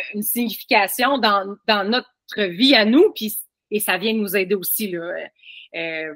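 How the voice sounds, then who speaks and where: A woman's bright, sharp tone at a fairly high pitch, very slow in pace, with a dry, close sound and no echo. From Quebec. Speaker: family constellation practitioner. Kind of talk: podcast interview.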